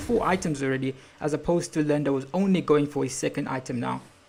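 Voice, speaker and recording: At a very fast pace, a woman with a non-native accent speaks in a very deep, low pitch. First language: not English. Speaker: esports caster. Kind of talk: live commentary. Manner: animated.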